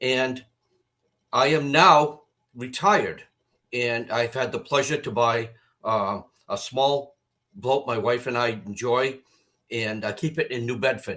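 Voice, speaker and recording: A man with an American accent and a bright, sharp tone talks fairly slowly at a medium pitch with ordinary variation, leaving long, frequent pauses. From Massachusetts, US. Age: 70s. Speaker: retired charter boat captain. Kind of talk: public comment.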